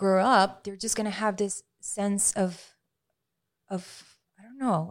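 A woman talks at a very slow pace with fairly even intonation. Her recording is very clean, the background silent. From Venezuela, Maracaibo. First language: Spanish. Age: 30s. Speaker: health and life coach. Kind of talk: casual interview. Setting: in the studio. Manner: hesitant, many fillers.

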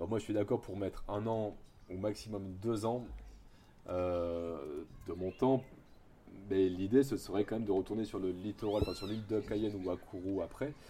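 Long, frequent pauses break up a man's moderately paced speech, his fairly low voice dark and mellow with fairly even intonation. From Bordeaux, southwest France. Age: 30s. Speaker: primary school teacher. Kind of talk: interview testimony. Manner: casual, hesitant with fillers.

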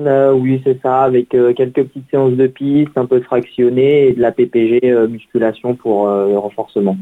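A man speaks at a fairly slow pace with a medium pitch. His intonation stays fairly even. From Paris region, France. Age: 20s. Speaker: runner, race winner. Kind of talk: radio interview. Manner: hesitant, many fillers.

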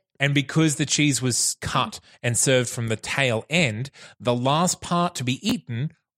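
A man speaks at a fairly slow pace in an unremarkable speaking voice, medium in pitch with lively intonation. The recording is very clean, dry and close with no echo, over a silent background. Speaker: producer stepping in as co-host. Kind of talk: casual chat. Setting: recorded at his house.

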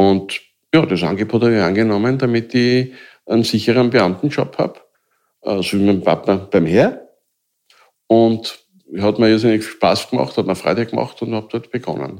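Against a quiet background, a man talks at a moderate pace with long, frequent pauses. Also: medium pitch for a man, ordinary pitch variation. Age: 60s. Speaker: mobbing victim, self-help group founder. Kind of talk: personal testimony. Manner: halting.

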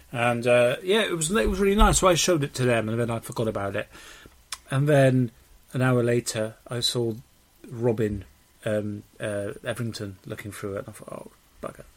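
A man with a British accent and medium pitch uses lively intonation at a moderate pace, with long, frequent pauses. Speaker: podcast co-host. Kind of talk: casual banter podcast chat.

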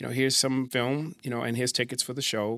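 A man talks at a very fast pace. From born in the UK, raised mostly in the US (New York area). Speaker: judge. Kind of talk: casual interview. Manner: halting, many repetitions.

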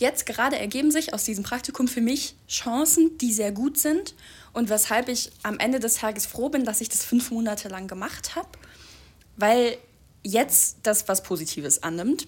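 Someone talks at a moderate pace in a normal speaking voice. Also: woman, fairly high pitch for a woman. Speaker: podcast co-host, student. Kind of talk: casual chat. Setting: home recording in a flat.

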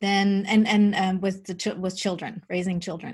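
Somewhat breathy, a woman speaks at a medium pitch and a moderate pace against a quiet background. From Germany. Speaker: spiritual medium and teacher. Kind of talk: interview about spirituality.

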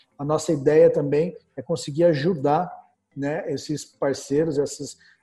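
Music plays in the background as a man speaks with a Brazilian accent. His pitch is fairly high and his intonation fairly even. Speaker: business portal founder and interview host. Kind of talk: casual business interview.

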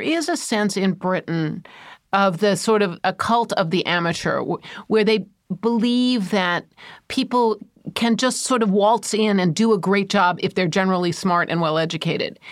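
Here is an ordinary speaking voice, at a moderate speed and with normal rises and falls in pitch. The background is silent and the recording very clean. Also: woman. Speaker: financial journalist. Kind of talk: casual interview.

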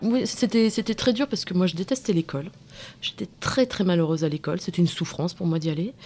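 Speaking at a very fast pace, a woman sounds somewhat breathy with a dark, mellow tone, medium pitch and lively intonation. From provincial France, small town. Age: 30s. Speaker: podcast interviewee. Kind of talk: personal testimony interview. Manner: hesitant, many fillers and repetitions.

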